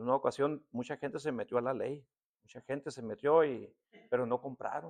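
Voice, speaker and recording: A man's medium-pitched voice at a fairly quick pace, with ordinary pitch variation and a dry, close sound with no echo. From Tecate, Baja California, Mexico. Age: 60s. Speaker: pastor. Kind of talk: sermon. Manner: conversational, with filler words.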